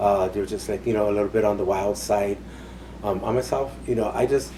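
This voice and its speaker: Fairly low in pitch, a man speaks with an American accent. His pace is moderate. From Los Angeles, California. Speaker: boarding school survivor. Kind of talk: oral history interview. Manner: halting, many fillers.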